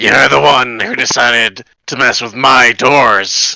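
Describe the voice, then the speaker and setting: Using a put-on character voice, a man speaks raspily at medium pitch and a fairly slow pace. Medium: actual play. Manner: dry, deadpan.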